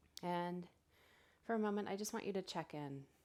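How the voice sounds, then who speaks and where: A woman at a moderate pace with lively intonation. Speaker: yoga teacher. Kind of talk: guided yoga class. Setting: live online class. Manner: calm.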